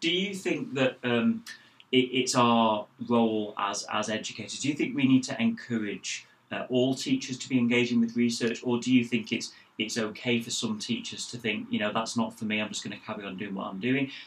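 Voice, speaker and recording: A man talks fairly quickly in an ordinary speaking voice. His pitch is medium, with ordinary variation. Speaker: school research director, co-host. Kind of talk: interview.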